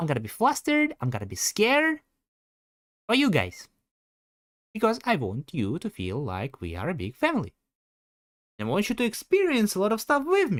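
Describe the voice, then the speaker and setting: With a Russian accent and an animated tone, the speaker goes at a moderate pace with long, frequent pauses, on a very clean recording with a silent background. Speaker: streamer. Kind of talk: livestream casual chat.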